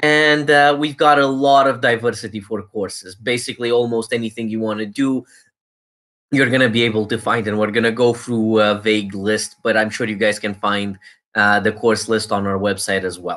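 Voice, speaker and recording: On a very clean recording with a silent background, a man speaks at medium pitch and a moderate pace in a bright, sharp tone with fairly even intonation. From Romania. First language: Romanian. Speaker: university recruiter. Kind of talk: presentation. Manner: casual, filler-heavy.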